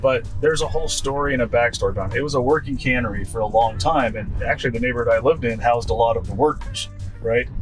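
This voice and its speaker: Clear music plays in the background. A man talks at a very fast pace with ordinary pitch variation. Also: medium pitch for a man. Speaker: podcast host. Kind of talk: interview question. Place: car. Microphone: handheld.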